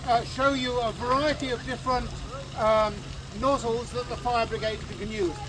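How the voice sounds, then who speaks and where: Noticeable background noise runs through the clip. The speech moves at a moderate pace. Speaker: fire brigade reenactor demonstrator. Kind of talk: live outdoor demonstration talk to audience. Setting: outdoors with audience. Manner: loud.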